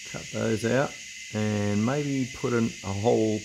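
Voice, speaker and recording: A man with a fairly low pitch and ordinary pitch variation talks over noticeable background noise. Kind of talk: casual workshop vlog chat. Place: workshop.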